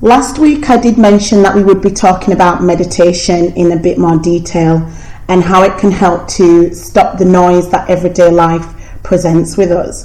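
A woman at a moderate pace and very even loudness, with audible room echo and noticeable background noise. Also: medium pitch for a woman, ordinary pitch variation. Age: 20s. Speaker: podcast host. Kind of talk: casual interview chat. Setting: at a friend's house. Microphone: cheap microphone, poor sound quality.

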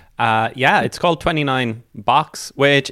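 A man at a moderate pace, fairly high in pitch, with an Irish accent. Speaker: podcast host. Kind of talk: podcast hosting and interview. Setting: video call.

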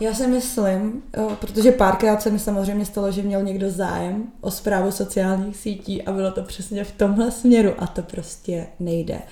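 Audible room echo and noticeable background noise surround a woman of medium pitch talking at a moderate pace. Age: 20s. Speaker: social media content creator and marketer. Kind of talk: casual chat.

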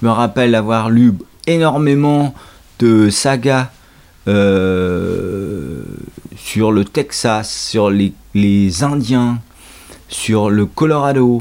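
A man at medium pitch talks very slowly with very even loudness, ordinary pitch variation, and long, frequent pauses. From Normandy, France. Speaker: host's father, reader. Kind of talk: casual chat.

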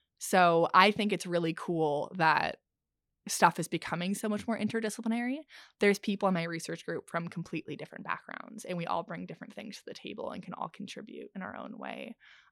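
Recorded very cleanly with a silent background and a dry, close sound with no echo, a woman with a Canadian accent speaks at a fairly quick pace with vocal fry and big swings in loudness. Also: medium pitch for a woman, ordinary pitch variation. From Ontario, Canada. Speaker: oceanography graduate student. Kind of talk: interview. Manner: animated.

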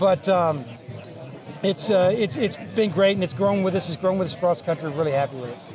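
Over noticeable background noise, a man with a high pitch and an American accent talks at a very fast pace, his pitch varying in an ordinary way. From Texas. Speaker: event organizer, former football coach. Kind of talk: interview. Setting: outdoors at golf event.

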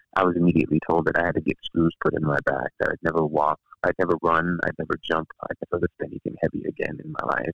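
A man speaks at a very fast pace. The sound is dry and close, with no echo. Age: 40s. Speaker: intimacy coach and former nurse. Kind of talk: interview.

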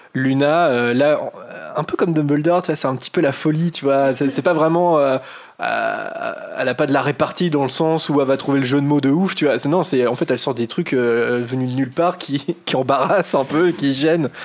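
Fairly high in pitch, a man speaks at a moderate pace with fairly even intonation and very even loudness. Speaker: podcast host. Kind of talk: casual chat. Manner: talkative.

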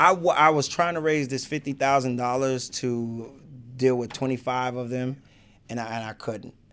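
In an American accent, a man with medium pitch and fairly even intonation uses an ordinary speaking voice. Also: moderate pace. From Chicago. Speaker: hip hop artist and youth mentor. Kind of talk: casual interview. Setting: studio.

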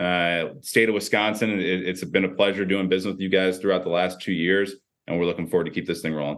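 Very fast and very deep, a man talks with an American accent and fairly even intonation. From US Midwest, Chicago area. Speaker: sports technology executive, former football coach. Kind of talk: interview.

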